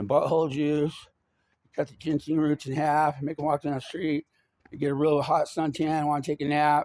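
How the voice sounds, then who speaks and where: At a moderate pace, a man with a fairly high pitch speaks in a flat monotone, the sound dry and close with no echo. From Arizona (Yuma). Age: 50s. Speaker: vlogger. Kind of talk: rambling monologue.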